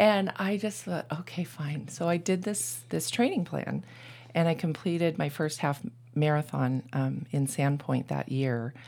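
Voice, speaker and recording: Vocal fry runs through a woman's very deep, low voice. She speaks at a fairly slow pace with lively intonation. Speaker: triathlete. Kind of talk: casual chat.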